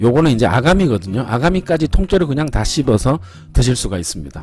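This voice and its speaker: A man's voice comes through with dry sound, no echo, and faint music in the background. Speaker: food vlogger. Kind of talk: casual mukbang commentary. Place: cafe. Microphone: phone near.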